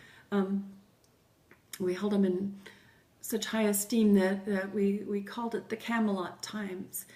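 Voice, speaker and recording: A woman with an American accent speaks at a fairly slow pace in a medium pitch, her intonation monotone and flat, with long, frequent pauses over noticeable background noise. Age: 60s. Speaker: grandmother interviewee. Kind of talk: interview.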